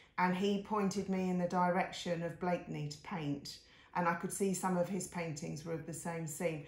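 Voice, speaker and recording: Amid audible room echo, a woman speaks at a moderate pace with a fairly low pitch and monotone, flat intonation. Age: 60s. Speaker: artist. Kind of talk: casual talk-through of paintings on video. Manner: chatty, with fillers and self-corrections.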